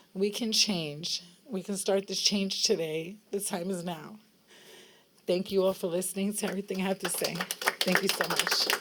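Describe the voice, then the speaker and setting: Over noticeable background noise, a woman with an American accent speaks in a monotone, flat intonation. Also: medium pitch for a woman, moderate pace. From New York City. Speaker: foster care survivor, advocate. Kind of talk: public testimony. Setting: rally at state capitol.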